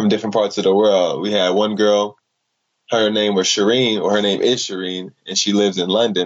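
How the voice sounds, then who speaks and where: A man with an American accent uses a normal speaking voice, fairly low in pitch, at a moderate pace. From Chicago, US. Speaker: dance artist. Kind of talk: casual storytelling interview.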